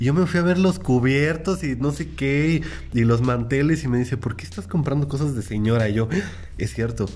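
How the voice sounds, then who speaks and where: Lively in intonation, a man speaks at medium pitch and a moderate pace over noticeable background noise. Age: 20s. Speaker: podcast host. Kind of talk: casual chat.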